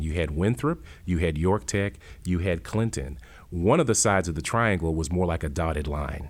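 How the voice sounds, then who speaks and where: A man with an American accent, lively intonation and vocal fry, at a moderate pace. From Worcester, Massachusetts. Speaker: college president. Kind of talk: interview.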